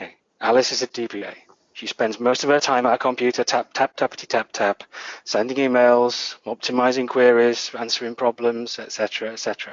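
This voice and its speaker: A man talks at a fairly quick pace with a northern English accent. His loudness swings widely. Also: medium pitch for a man. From northern England. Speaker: database administrator, conference speaker. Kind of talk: tech conference talk. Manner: animated.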